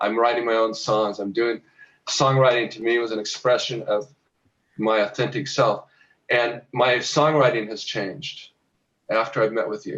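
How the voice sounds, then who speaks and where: Fairly even intonation marks speech delivered at a moderate tempo. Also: man, medium pitch for a man. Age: 60s. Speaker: rancher and songwriter. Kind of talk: interview. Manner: halting.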